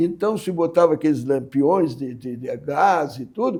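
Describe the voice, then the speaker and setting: Recorded very cleanly against a silent background, a man with a dark, mellow tone speaks at a fairly slow pace. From Rio Grande do Sul, Brazil (Pelotas, Alegrete). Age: 80s+. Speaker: writer. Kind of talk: interview.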